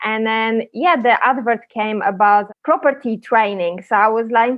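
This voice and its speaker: A woman with a Polish accent speaks in a high pitch. She talks at a fairly slow pace with ordinary pitch variation. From Poland. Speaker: property sourcing agent. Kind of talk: podcast interview.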